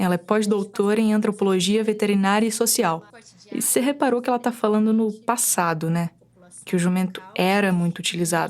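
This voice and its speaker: With a Bahian accent, a woman speaks at a fairly quick pace with a medium pitch, ordinary pitch variation, and very even loudness. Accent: Bahian northeastern Brazilian. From Brazil, Bahia interior (Chapada Diamantina). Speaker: podcast producer/reporter. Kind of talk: scripted narration.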